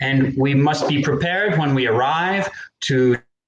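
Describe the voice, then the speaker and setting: A man's somewhat breathy, fairly high voice moves at a fairly slow pace with ordinary pitch variation. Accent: American. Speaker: English teacher. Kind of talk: live educational stream. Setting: live online stream.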